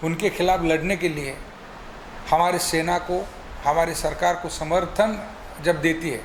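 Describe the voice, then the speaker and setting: With long, frequent pauses, a man speaks at a high pitch in fairly even intonation, with audible room echo and noticeable background noise. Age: 60s. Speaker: former mayor, politician. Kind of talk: address to the public. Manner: halting.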